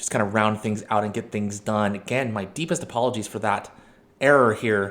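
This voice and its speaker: A man in a normal speaking voice talks at a fairly quick pace, his pitch fairly low with ordinary pitch variation. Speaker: gaming video host. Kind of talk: live game commentary.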